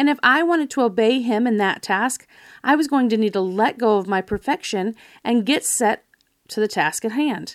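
A woman's unremarkable speaking voice, fairly high in pitch, with lively intonation and very even loudness on a very clean recording with a silent background. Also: moderate pace. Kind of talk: devotional talk.

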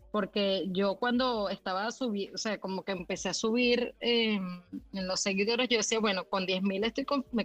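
Her voice is an unremarkable speaking voice: a woman at medium pitch and a moderate pace, with fairly even intonation and a dry, close sound with no echo. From Venezuela. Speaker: graphic designer and illustrator. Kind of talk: casual interview. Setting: live audio room online.

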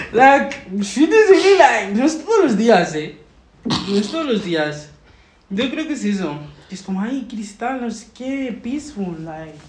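A woman speaks quietly and fairly slowly at a fairly high pitch, with very wide pitch swings, big swings in loudness and long, frequent pauses. Background noise is noticeable. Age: 20s. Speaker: guest, astrology enthusiast. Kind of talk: casual chat. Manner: uneven volume, loud then suddenly quiet; code-switching Spanish and English.

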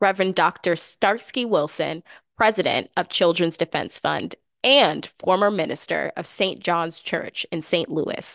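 The dry, close sound with no echo carries an animated tone delivered at a moderate pace with ordinary pitch variation. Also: woman. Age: 20s. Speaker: podcast host, youth policy consultant. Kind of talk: interview.

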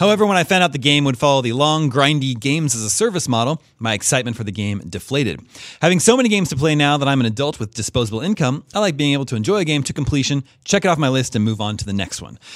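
Speaking at a very fast pace with hardly any pauses, a man talks at a fairly high pitch. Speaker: podcast host. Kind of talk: casual chat.

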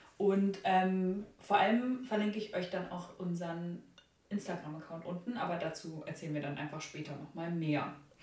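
A woman speaks at a fairly low pitch. There is audible room echo and noticeable background noise. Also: ordinary pitch variation, moderate pace. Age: 20s. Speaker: art student. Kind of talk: casual chat.

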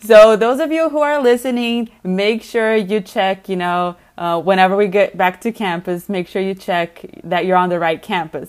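At a moderate pace, a woman speaks in an unremarkable speaking voice with ordinary pitch variation.

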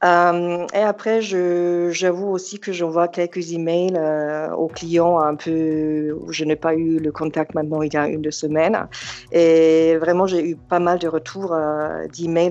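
A woman's fairly low voice in a monotone, flat delivery at a very slow pace. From Germany, Yugoslav family. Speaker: real estate agent. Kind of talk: casual interview. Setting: phone call.

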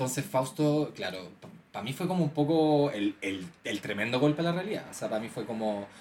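A man speaks with a Chilean accent at a fairly quick pace. His pitch swings very widely. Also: medium pitch for a man. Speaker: podcast co-host. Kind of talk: casual chat.

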